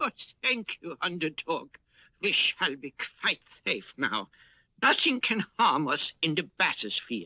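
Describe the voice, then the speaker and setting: In a cartoonish character voice, a man speaks at a fairly slow pace with long, frequent pauses, a fairly high pitch and very wide pitch swings, all in a dry, close sound with no echo. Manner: courtly, fussy, prone to flustered exclamations.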